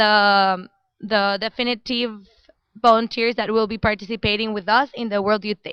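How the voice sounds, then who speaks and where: A woman's fairly high voice in a Spanish accent, monotone and flat in intonation. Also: moderate pace. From Mexico. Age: young. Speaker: international volunteer. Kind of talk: live stream interview. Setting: office with people working, live stream.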